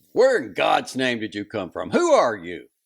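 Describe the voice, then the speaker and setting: A man puts on a hoarse character voice at a moderate pace. His loudness swings widely on a very clean recording with a silent background. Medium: read story.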